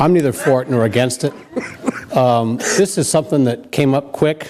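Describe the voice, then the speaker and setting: With noticeable background noise behind him, a man speaks in a fairly high pitch at a moderate pace, his loudness very even. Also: ordinary pitch variation. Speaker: public commenter at council meeting. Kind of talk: public comment. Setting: council chamber meeting. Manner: hesitant with fillers.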